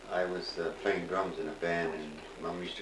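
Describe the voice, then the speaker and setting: In a room with audible echo and noticeable background noise, a man with a very deep, low pitch talks at a moderate pace. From Ontario, Canada. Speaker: family elder, retired drummer. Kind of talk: casual family interview. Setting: home recording.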